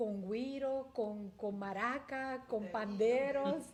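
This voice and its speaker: A woman with a Puerto Rican accent speaks very slowly at a fairly high pitch, with ordinary pitch variation, noticeable background noise and audible room echo. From Puerto Rico. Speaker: community leader. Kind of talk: interview testimony.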